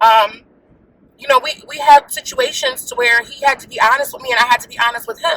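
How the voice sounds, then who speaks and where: The voice is raised and projected, with an animated tone. It moves at a fairly quick pace. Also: woman, high pitch for a woman, ordinary pitch variation, big swings in loudness. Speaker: married couple channel co-host. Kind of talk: casual chat. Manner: loud.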